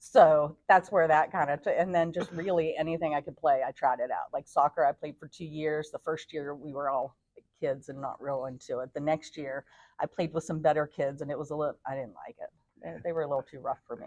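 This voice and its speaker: Fairly quick speech with fairly even intonation and big swings in loudness, in a dry, close sound with no echo. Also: woman, very deep, low pitch for a woman. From northern West Virginia, Fairmont. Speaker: gym member and amateur athlete. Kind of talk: interview. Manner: fast.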